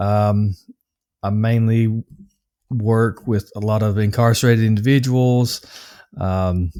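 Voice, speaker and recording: A man talks at a very slow pace with long, frequent pauses, his pitch fairly low and his tone dark and mellow. His intonation stays fairly even, and the recording is very clean with a silent background. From US South, Nashville, Tennessee. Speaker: anger management coach. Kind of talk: interview. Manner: hesitant, many fillers.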